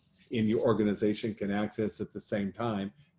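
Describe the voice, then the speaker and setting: A man's medium-pitched voice, dark and mellow in tone, with monotone, flat intonation against a quiet background. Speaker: accountant hosting a small business show. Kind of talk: live-streamed tutorial. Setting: Facebook Live stream. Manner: slow; halting.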